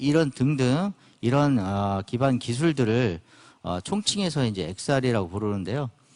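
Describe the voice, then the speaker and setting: A man speaks at a fairly slow pace. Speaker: company CEO giving conference talk. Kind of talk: conference lecture. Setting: conference stage with audience. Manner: hesitant, many fillers.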